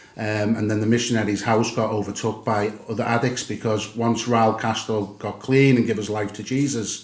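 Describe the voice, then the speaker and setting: Speaking at a moderate pace with hardly any pauses, a man with a Liverpool accent keeps a medium pitch and a monotone, flat intonation over audible room echo. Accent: Liverpool (Scouse). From England, Liverpool. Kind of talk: podcast interview, personal testimony. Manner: hesitant, many fillers.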